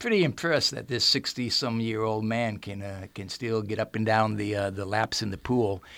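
The recording is very clean, with a silent background. A man speaks in a plain, everyday voice, fairly low in pitch with ordinary pitch variation. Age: 60s. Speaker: retired school principal and football coach. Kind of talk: casual interview. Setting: radio studio.

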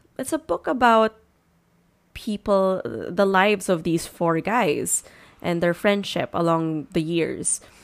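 Speech comes at a very slow pace with ordinary pitch variation, in a very clean recording against a silent background. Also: woman, fairly low pitch for a woman. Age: 20s. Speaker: book podcast host. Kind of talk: casual book review monologue. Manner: hesitant with many fillers.

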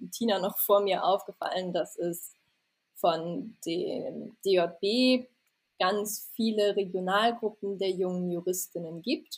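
The woman's voice sits at medium pitch with ordinary pitch variation. She speaks at a very slow pace. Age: 20s. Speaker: doctoral law student. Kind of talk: casual interview.

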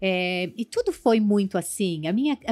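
A woman's normal speaking voice with lively intonation at a moderate pace, dry and close with no echo, on a very clean recording against a silent background. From southern Brazil (Rio Grande do Sul), born in São Paulo state. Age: 40s. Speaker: fashion designer and cooking show contestant. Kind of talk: podcast interview.

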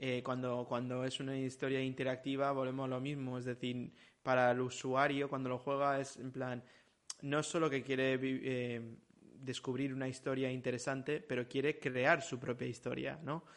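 A man's medium-pitched, monotone, flat voice at a moderate pace over a quiet background. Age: 40s. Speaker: video game industry professional. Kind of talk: casual chat.

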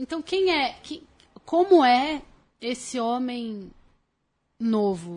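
Using a high pitch with very wide swings, a woman speaks at a very slow pace with long, frequent pauses. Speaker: TV presenter. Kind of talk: casual chat.

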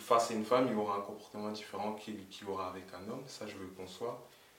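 Audible room echo and noticeable background noise around a fairly low-pitched man. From France, Essonne (Évry). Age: 20s. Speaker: guest. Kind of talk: casual chat.

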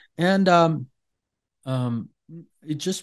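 A man with an Iranian accent and lively intonation. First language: Farsi. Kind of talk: interview telling personal testimony. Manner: halting, many fillers.

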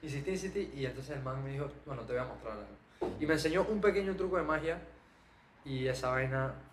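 With audible room echo and noticeable background noise, a man with a fairly high pitch talks at a fairly quick pace and ordinary pitch variation. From Panama. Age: 20s. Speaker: magician and content creator. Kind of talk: podcast interview.

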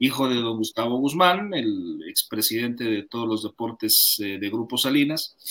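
A man with a Mexican accent and a bright, sharp tone, at a fairly slow pace. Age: 40s. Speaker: sports commentator. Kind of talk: interview.

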